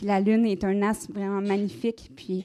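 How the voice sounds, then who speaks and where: In a Quebec accent, a woman talks at a moderate pace. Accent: Québécois French. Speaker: conference speaker on magic. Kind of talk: live conference talk. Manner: casual, many hesitations.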